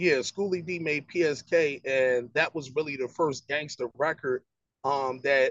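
Speaking at a fairly slow pace, a man with a fairly high pitch talks in a Philadelphia accent. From West Philadelphia. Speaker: rapper. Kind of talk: casual interview.

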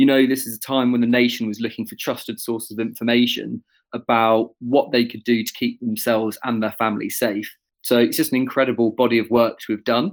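With a normal speaking voice, a man talks at a fairly quick pace and medium pitch on a very clean recording with a silent background. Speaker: engagement manager. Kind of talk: casual quiz chat.

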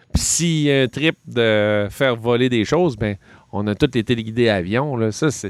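A man with a Quebec accent talks at a fairly slow pace in a medium pitch with ordinary pitch variation, the sound dry and close with no echo. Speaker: hobby shop employee. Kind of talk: casual chat.

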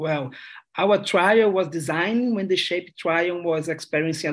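A man with a Brazilian accent speaks in a high pitch at a moderate pace, with ordinary pitch variation. The background is quiet. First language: Portuguese. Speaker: gynecologic oncologist researcher.

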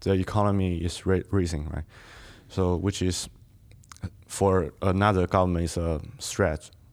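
Someone with a Chinese accent speaks at a fairly slow pace in a monotone, flat intonation, leaving long, frequent pauses. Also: man, very deep, low pitch for a man. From Southern China. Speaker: exchange student. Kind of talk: casual interview. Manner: halting.

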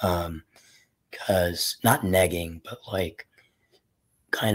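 In a very clean recording with a silent background, a man speaks very slowly in a very deep, low pitch with monotone, flat intonation. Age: 20s. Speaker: caller seeking dating advice. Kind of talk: casual conversation. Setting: live call. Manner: halting.

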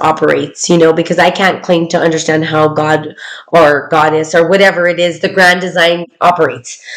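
A woman's fairly low-pitched voice, monotone and flat in intonation, at a moderate pace. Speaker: podcast host. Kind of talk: casual chat. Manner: loud.

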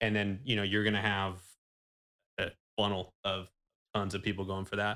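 On a very clean recording with a silent background, a man with a Californian accent speaks at a fairly low pitch and moderate pace, his tone bright and sharp, his intonation monotone and flat, with long, frequent pauses. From California Central Valley (Manteca). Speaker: banker. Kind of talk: casual interview. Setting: studio.

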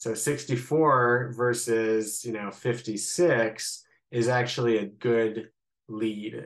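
Against a quiet background, a man talks with a slight Midwestern accent. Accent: slight Midwestern American. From US Midwest, Columbus, Ohio. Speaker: rabbi. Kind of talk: interview, explaining politics.

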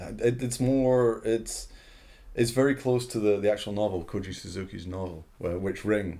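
This man has a dark, mellow tone and a fairly low pitch. He keeps a moderate pace with ordinary pitch variation. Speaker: podcast co-host, film writer. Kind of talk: casual chat.

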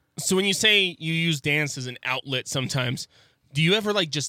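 A man with a fairly high pitch and a bright, sharp tone speaks in an animated way at a moderate pace, with ordinary pitch variation. The recording is very clean, with a silent background and a dry, close sound with no echo. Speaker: radio host, aspiring intern. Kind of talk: casual radio interview. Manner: talkative, animated.

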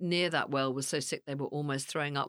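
The speaker has a British accent. The sound is dry and close with no echo, on a very clean recording with a silent background. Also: woman. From England. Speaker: psychic medium and actress. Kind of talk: casual chat. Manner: animated.

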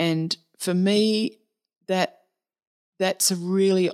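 A woman with an Australian accent speaks with ordinary pitch variation in a very clean recording, dry and close with no echo and a silent background. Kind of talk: interview conversation. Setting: face-to-face at a retreat centre.

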